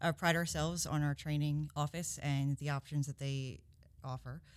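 Over a very clean recording with a silent background, a woman speaks at a very deep, low pitch in a monotone, flat intonation. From Georgia, Covington. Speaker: recruitment supervisor. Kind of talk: podcast panel discussion.

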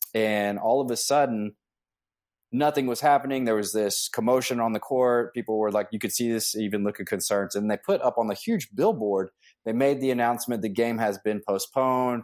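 A man speaks in an ordinary speaking voice at a medium pitch and a fairly quick pace, with ordinary pitch variation, on a very clean recording with a silent background. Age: 40s. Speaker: fitness and weight loss coach. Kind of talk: interview.

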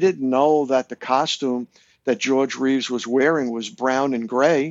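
A man with an American accent speaks fairly slowly in an unremarkable speaking voice. His pitch is medium and his intonation fairly even. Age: 60s. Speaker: author and longtime fan. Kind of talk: casual chat.

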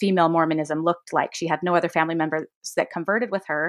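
A woman's normal speaking voice with an American accent, fairly low in pitch, with fairly even intonation, against a quiet background. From Utah, Davis County. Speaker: podcast guest. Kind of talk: casual chat.

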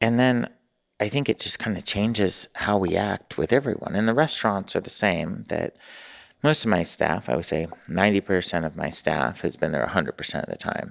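On a very clean recording with a silent background, a speaker with an American accent and vocal fry talks at a fairly quick pace through very wide pitch swings. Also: man, fairly low pitch for a man. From US West Coast, Newport Beach, California. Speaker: mayor and restaurant owner. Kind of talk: casual interview. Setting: studio.

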